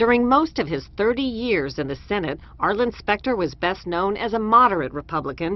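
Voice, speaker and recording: Speaking at a fairly quick pace with hardly any pauses, a woman of medium pitch shows vocal fry and very wide pitch swings. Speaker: television news correspondent. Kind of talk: news report voiceover.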